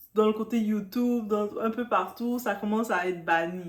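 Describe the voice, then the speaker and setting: A woman's fairly high, animated voice in a strong Quebec accent. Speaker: YouTuber, celebrity news commentator. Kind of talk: casual vlog commentary. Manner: halting.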